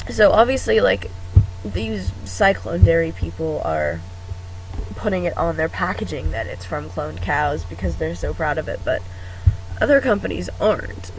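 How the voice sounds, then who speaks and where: Moderately paced speech from a man, with noticeable background noise. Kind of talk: casual talk to camera. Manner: hesitant, filler words.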